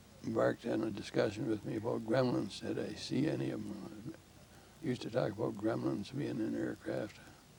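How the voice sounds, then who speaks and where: A man's fairly low voice at a moderate pace, with very wide pitch swings, long, frequent pauses and noticeable background noise. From southern Ontario, Canada. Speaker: war veteran. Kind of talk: interview. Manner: halting.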